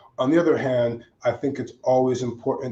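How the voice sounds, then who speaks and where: This man's voice has a dark, mellow tone and is somewhat breathy. His intonation stays monotone and flat. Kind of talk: panel discussion.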